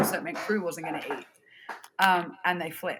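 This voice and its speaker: With an Australian accent, a woman talks at a fairly quick pace in a medium pitch and fairly even intonation. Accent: Australian, harsh sounding. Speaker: festival production director. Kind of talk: casual chat.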